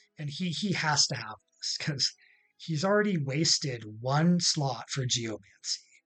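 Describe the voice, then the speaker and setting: A man speaks at a fairly slow pace with a North American accent and lively intonation. Music plays in the background. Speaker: gaming YouTuber and streamer. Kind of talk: casual gaming explainer. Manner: hesitant, many fillers.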